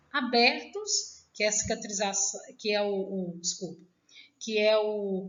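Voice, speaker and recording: A woman with a fairly high pitch speaks at a fairly slow pace, and the room echo is audible. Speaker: nursing teacher. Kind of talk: lecture.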